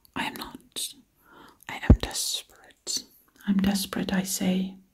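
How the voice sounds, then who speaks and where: A woman whispers in a soft-spoken, breathy way. Her pace is very slow. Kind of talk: ASMR whispering roleplay. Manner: breathy whisper, soft-spoken.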